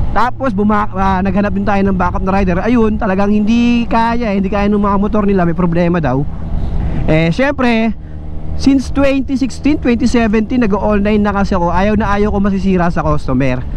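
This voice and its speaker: Audible room echo and noticeable background noise surround a voice at a fairly quick pace with very even loudness and ordinary pitch variation. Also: man, high pitch for a man. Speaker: motovlogger and online shop owner. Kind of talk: casual vlog while riding.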